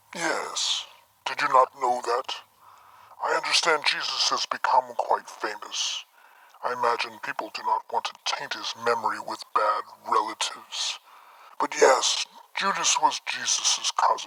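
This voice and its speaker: This is a put-on character voice. It moves along at a moderate pace. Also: man. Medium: machinima. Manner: wry, unhurried storytelling.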